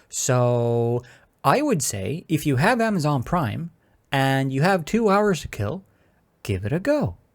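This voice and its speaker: On a very clean recording with a silent background, the talking unfolds at a fairly slow pace. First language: not English. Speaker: gaming YouTuber. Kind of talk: review monologue.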